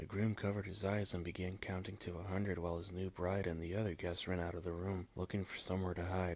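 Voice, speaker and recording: Against a silent background on a very clean recording, a man speaks very fast with hardly any pauses in a very deep, low, flat monotone. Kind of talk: ASMR scary story reading.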